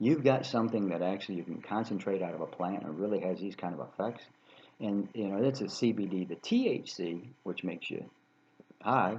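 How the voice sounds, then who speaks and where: This man has an unremarkable speaking voice, fairly low in pitch. He talks at a fairly quick pace. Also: ordinary pitch variation. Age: 60s. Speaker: health vlogger. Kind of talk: casual monologue. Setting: traveling. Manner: rambling with fillers.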